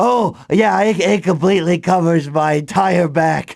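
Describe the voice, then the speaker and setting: At a moderate pace, a man speaks high in pitch in a put-on character voice. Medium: audio drama. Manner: nervous, giggly.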